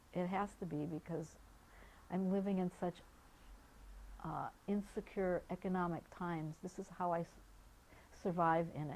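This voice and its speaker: A woman talks with monotone, flat intonation. Her speech has long, frequent pauses. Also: fairly low pitch for a woman, moderate pace. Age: 60s. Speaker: activities therapist for older adults. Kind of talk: documentary interview testimony. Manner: halting, frequent repetitions.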